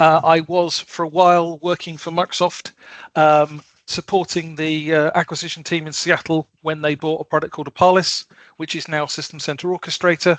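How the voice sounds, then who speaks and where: A man speaks at a moderate pace in a fairly high pitch, his intonation monotone and flat, with a quiet background and dry sound with no echo. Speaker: automation software consultant; presenter. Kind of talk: technical presentation. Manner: halting, many fillers (um, uh). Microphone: headset.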